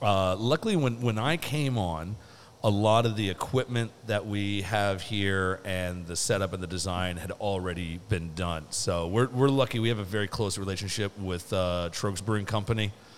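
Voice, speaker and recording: A man with an American accent speaks in a normal speaking voice at a fairly low pitch. His pace is moderate, with hardly any pauses. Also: ordinary pitch variation. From Seattle. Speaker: brewer. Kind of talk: casual chat.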